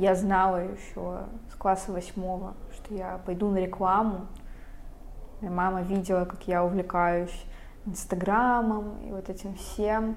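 In a room with audible echo, a woman of medium pitch talks very slowly, monotone and flat, with long, frequent pauses. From Russia, Veliky Novgorod. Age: young. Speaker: podcast co-host, university student. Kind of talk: casual chat.

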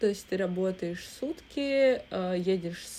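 This is an unremarkable speaking voice. Its pitch variation is ordinary. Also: woman. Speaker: theatre critic and director. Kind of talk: casual chat. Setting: remote recording.

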